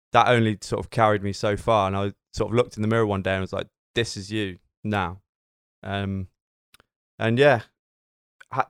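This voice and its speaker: A man with a British accent and fairly low pitch speaks at a moderate pace with fairly even intonation and long, frequent pauses, in a very clean recording with a silent background. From Britain. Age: 20s. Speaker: personal trainer. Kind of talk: casual chat.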